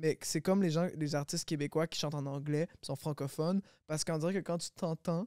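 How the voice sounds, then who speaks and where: In a very clean recording with a silent background and a dry, close sound with no echo, a man speaks at a moderate pace and a high pitch with fairly even intonation. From Quebec, Longueuil (Montreal area). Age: 20s. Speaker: rapper. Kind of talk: casual chat.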